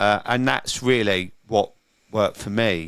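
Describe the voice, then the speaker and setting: At a moderate pace, a man in a London accent speaks with a fairly low pitch and ordinary pitch variation. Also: very clean recording, silent background. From London, England. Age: 50s. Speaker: sober coach and recovery event organiser. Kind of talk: interview, personal testimony.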